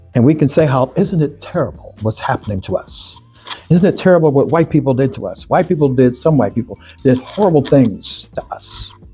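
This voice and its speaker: With an American accent, a man speaks at a fairly high pitch and a fairly quick pace. His intonation is lively, and there is noticeable background noise. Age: 80s+. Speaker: civil rights leader. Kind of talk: interview conversation.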